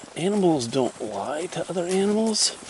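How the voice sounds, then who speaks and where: A man's fairly slow speech with very wide pitch swings, over noticeable background noise. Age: 60s. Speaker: hiker vlogger. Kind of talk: casual solo vlog narration while hiking. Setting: outdoors on a forest trail. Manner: rambling, halting with fillers.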